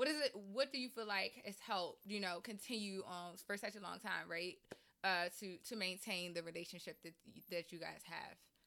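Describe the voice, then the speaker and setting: At a moderate pace, a woman with a medium-pitched voice speaks in an animated, bright, sharp tone with ordinary pitch variation. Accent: Maryland. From Maryland. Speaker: podcast host. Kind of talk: casual interview chat.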